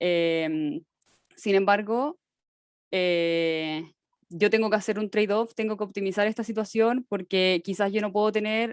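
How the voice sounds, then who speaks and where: A woman with an unremarkable speaking voice speaks at a fairly slow pace and medium pitch with ordinary pitch variation, in a dry, close sound with no echo over a quiet background. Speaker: teaching assistant. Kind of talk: lecture.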